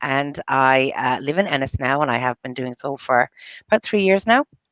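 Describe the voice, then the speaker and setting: A woman talks at a moderate pace with lively intonation, and the sound is dry and close with no echo. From US, New York. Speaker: entrepreneur, bookkeeper. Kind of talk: casual interview chat. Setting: live video show. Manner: halting, many fillers and restarts.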